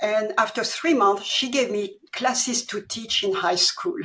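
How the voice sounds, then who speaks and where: A woman speaks at a fairly high pitch with very wide pitch swings. Her pace is moderate. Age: 70s. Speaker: author. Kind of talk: interview.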